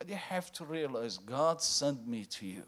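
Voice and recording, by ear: Loud and fairly bright, a man talks at a medium pitch. His voice makes big pitch swings. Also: fairly slow pace.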